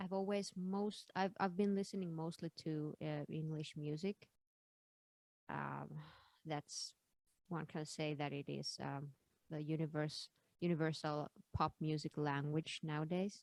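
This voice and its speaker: A woman with a Finnish accent and a very deep, low pitch speaks at a fairly slow pace with fairly even intonation and long, frequent pauses, in a dry, close sound with no echo. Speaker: singer. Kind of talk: interview. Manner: halting.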